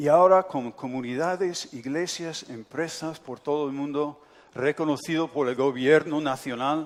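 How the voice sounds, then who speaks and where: On a very clean recording with a silent background, a man with an English accent speaks at a fairly slow pace in a fairly high pitch, his intonation fairly even. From United States. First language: English (speaking Spanish). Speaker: pastor. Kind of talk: sermon.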